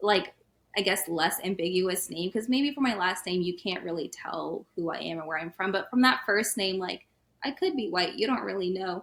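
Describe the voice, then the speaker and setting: A woman speaks with an American accent at a moderate pace. Her voice is a normal speaking voice, medium in pitch with ordinary pitch variation. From US South, Atlanta, Georgia. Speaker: podcast guest. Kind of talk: casual interview chat.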